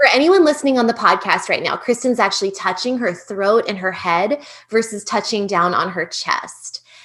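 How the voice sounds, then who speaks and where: A woman with a fairly high pitch speaks at a moderate pace with lively intonation and hardly any pauses. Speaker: pelvic health specialist and podcast host. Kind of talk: interview.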